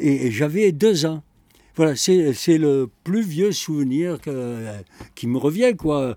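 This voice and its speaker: On a very clean recording with a silent background and a dry, close sound with no echo, a man with a fairly high pitch and a dark, mellow tone speaks very slowly, his pitch swinging very widely. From France, Bordeaux. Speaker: secondhand bookseller. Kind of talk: oral history interview. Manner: halting.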